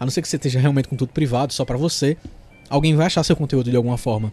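A man is speaking. His voice is somewhat breathy. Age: 30s. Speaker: podcast host, content creator. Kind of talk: solo monologue podcast, tips.

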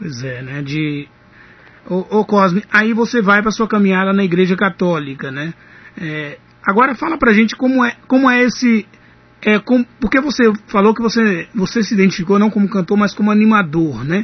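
His pitch high for a man, this speaker talks at a moderate pace with lively intonation. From Minas Gerais, Ipaba. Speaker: radio host. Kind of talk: radio interview.

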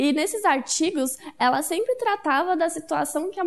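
Her intonation is lively. The woman keeps to a moderate pace. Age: 20s. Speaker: communications student. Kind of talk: casual chat.

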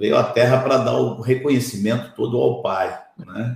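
A man with a medium pitch sounds somewhat breathy. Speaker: pastor, Bible teacher. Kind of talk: livestream Bible teaching.

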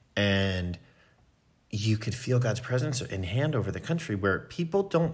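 The voice is somewhat breathy, with an American accent. Its pitch swings very widely. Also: man. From US, Philadelphia suburbs. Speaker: music production company co-founder. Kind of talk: interview testimony. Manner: hesitant, many fillers.

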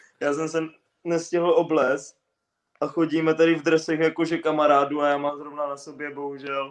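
A man with a fairly high pitch speaks at a moderate pace in a flat, monotone way. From Moravia, Czechia. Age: 20s. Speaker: footballer. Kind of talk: interview. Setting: video call from home. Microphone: bad signal, lag.

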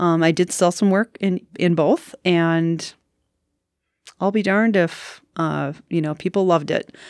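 On a very clean recording with a silent background and a dry, close sound with no echo, a woman speaks slowly-ish at a fairly slow pace, with a fairly low pitch and fairly even intonation. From Wisconsin, Green Bay area. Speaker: artist and printmaker. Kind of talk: casual interview. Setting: studio.

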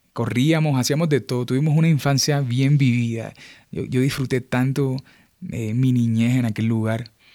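On a very clean recording with a silent background, a man speaks at a medium pitch with a dark, mellow tone and fairly even intonation. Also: moderate pace. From Colombian Caribbean coast (Montería). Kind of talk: devotional monologue. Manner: halting, many fillers.

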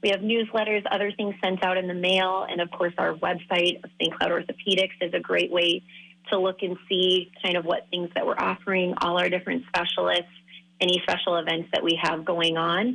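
A woman speaks in a normal speaking voice at a medium pitch. Her pace is fairly quick. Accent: American. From Minnesota. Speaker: foot and ankle surgeon. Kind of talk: interview.

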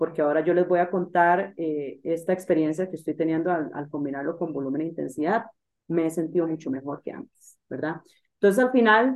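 She has an unremarkable speaking voice. This woman's pitch sits fairly low, with ordinary pitch variation. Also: fairly quick pace. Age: 20s. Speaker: triathlon coach. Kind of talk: interview.

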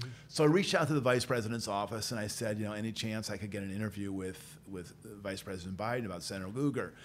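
A man with a Midwestern American accent and fairly low pitch, very fast pace with hardly any pauses, ordinary pitch variation, and audible room echo. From central Illinois (Peoria). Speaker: policy institute director, former journalist. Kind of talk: interview conversation.

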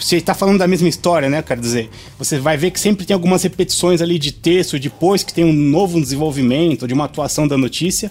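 Against noticeable background noise, a man with a fairly high pitch talks at a very fast pace with ordinary pitch variation and hardly any pauses. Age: 40s. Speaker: podcast co-host. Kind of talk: casual chat.

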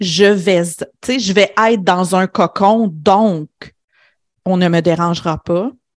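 A woman at medium pitch with ordinary pitch variation, in a dry, close sound with no echo, on a very clean recording with a silent background. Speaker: business coach. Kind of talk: interview conversation. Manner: reflective, with pauses.

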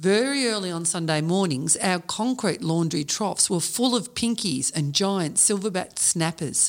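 A woman with an Australian accent, fairly low pitch, lively intonation and a moderate pace, on a very clean recording with a silent background. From Australia, Melbourne western suburbs. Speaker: podcast co-host and anthology author. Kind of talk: reading aloud.

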